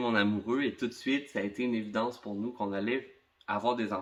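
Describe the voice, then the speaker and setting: The speaker talks with a Quebec accent at a fairly quick pace, with fairly even intonation. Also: man. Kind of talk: talk to camera about personal experience.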